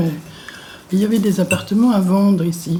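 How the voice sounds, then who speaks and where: There is noticeable background noise behind a woman speaking with lively intonation. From Reims, Champagne, France. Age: 70s. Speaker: elderly resident interviewee. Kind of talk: testimony.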